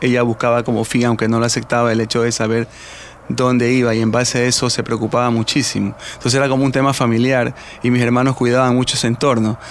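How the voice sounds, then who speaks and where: Noticeable background noise runs under a man speaking at a medium pitch with a coastal Ecuadorian accent. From Guayaquil, Ecuador. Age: 50s. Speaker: retired football referee. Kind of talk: radio interview.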